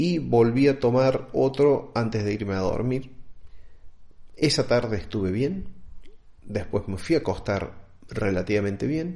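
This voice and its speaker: At a fairly slow pace, a man with a medium pitch uses lively intonation. He leaves long, frequent pauses. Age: 40s. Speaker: podcaster. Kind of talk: solo podcast monologue.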